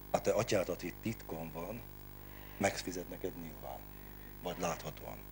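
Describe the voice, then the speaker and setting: A man's very deep, low voice with vocal fry, very wide pitch swings, a moderate pace and long, frequent pauses, over light background noise. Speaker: preacher and service leader; preacher. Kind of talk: sermon and prayer at a Bible hour. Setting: church. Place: hall. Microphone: handheld.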